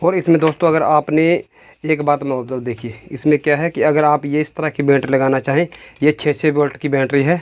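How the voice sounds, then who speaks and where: A man's monotone, flat intonation carries through speech delivered at a moderate pace. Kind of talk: tutorial. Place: workshop.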